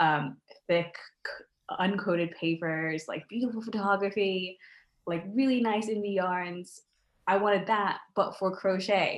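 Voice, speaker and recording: With an American accent, a woman speaks at a fairly slow pace. Her pitch is medium, with ordinary variation. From United States. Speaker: crochet designer and podcast host. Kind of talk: interview.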